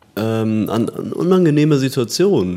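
With a dark, mellow tone, a man talks at a very slow pace using lively intonation. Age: 30s. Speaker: medical engineering student. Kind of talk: casual chat. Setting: studio. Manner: halting with repetitions.

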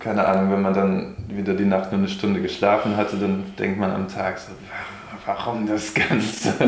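A man's fairly low, monotone, flat voice amid noticeable background noise and audible room echo. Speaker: old school friend living without consumption. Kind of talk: casual chat.

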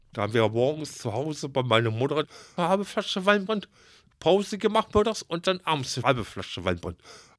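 A man speaks at a fairly quick pace, his pitch swinging very widely. The recording is very clean and the background silent. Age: 60s. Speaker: retiree, former baker's assistant. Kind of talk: personal interview.

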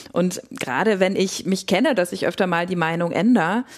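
A woman with a plain, everyday voice, a fairly low pitch and a moderate pace. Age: 30s. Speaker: psychotherapist, co-host. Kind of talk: casual conversation.

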